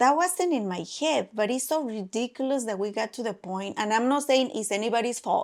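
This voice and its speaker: A high-pitched woman with a Mexican accent and lively intonation. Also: very clean recording, silent background. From Mexico. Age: 40s. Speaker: podcast co-host. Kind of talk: casual chat. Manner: animated.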